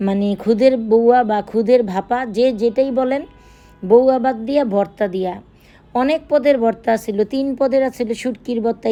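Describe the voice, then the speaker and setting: A woman's fairly high voice with a central Bangladeshi accent, dark and mellow in tone, with ordinary pitch variation. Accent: Narayanganj regional Bengali dialect. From Bangladesh, Narayanganj. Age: middle-aged. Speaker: cooking vlogger. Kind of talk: casual vlog narration.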